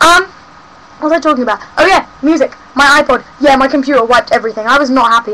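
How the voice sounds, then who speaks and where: A woman speaks in a raised, projected voice at a high pitch with ordinary pitch variation. Her pace is fairly quick over noticeable background noise. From South West London. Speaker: vlogger. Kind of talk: casual webcam rant. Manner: rambling, hesitant with ums.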